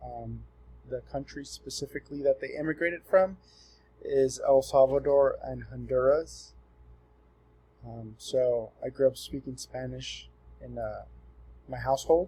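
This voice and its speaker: A man at a fairly slow pace, with long, frequent pauses and big swings in loudness. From Southern California, Los Angeles County. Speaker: student. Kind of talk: class presentation. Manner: casual with fillers.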